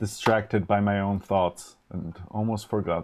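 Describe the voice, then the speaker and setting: In a Polish accent, a man speaks very slowly in a fairly low voice with flat, monotone intonation. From Poland, then Germany from age 12. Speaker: electronics live streamer. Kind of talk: live stream chat while designing electronics. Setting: live stream. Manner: halting, many fillers and restarts.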